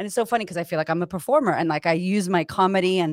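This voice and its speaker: In a very clean recording with a silent background and a dry, close sound with no echo, a woman of medium pitch speaks in an animated tone. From US, Puerto Rican family. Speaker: confidence coach. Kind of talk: casual interview chat.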